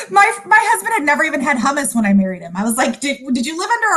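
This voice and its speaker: A woman's raised, projected voice, high-pitched, with very wide pitch swings and a very fast pace. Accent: American. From California, USA (came from Sudan at five). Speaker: food company founder. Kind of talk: interview.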